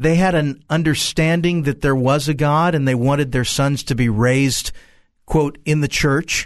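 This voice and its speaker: In a quiet background, a man with a plain, everyday voice speaks at a moderate pace, his pitch fairly high, his loudness very even and his intonation fairly even. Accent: American. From US South, Central Florida. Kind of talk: interview testimony.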